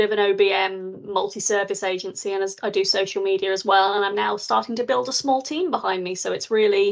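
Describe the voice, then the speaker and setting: A woman speaks in a plain, everyday voice, keeping a moderate pace and ordinary pitch variation. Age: 40s. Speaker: business owner, virtual assistant service founder. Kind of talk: interview answer.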